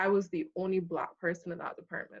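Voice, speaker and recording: She speaks with a slight Barbadian accent at medium pitch. The woman's pitch variation is ordinary. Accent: slight Barbadian (Bajan). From Barbados. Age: 30s. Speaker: accountant. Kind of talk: casual chat.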